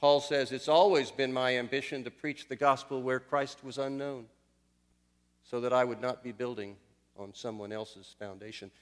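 At a moderate pace, a man uses a normal speaking voice with a medium pitch, ordinary pitch variation and big swings in loudness. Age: 60s. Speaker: missionary preaching. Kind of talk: sermon. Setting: church.

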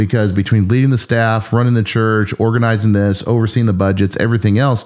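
A man with an unremarkable speaking voice talks at a fairly quick pace and fairly low pitch. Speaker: pastor. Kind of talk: casual chat.

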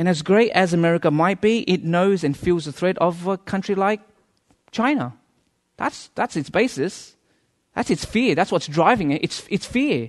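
This man's voice is high in pitch and moves at a moderate pace. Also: lively intonation. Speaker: guest preacher. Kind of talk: sermon. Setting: church with audience. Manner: humorous, conversational.

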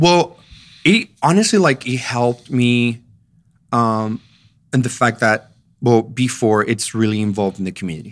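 A man with a Spanish accent speaks at a moderate pace and ordinary pitch variation. He leaves long, frequent pauses. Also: medium pitch for a man. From Mexico, Chihuahua. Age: 30s. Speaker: pastor. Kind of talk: casual interview. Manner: halting, repeats words.

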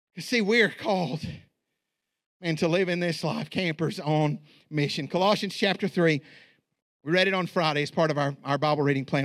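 A man's raised, projected voice, bright and sharp in tone, going very fast on a very clean recording with a silent background. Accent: American. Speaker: pastor. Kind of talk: sermon. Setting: church. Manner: halting, with frequent fillers.

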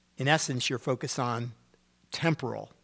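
A man at a medium pitch, moderate pace and fairly even intonation, in a very clean recording with a silent background. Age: 50s. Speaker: pastor. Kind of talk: sermon. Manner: conversational teaching style.

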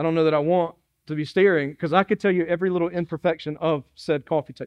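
A man with a Southern US accent and fairly high pitch talks at a very fast pace with fairly even intonation. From South Carolina (Dillon). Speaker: pastor. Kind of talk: sermon. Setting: church.

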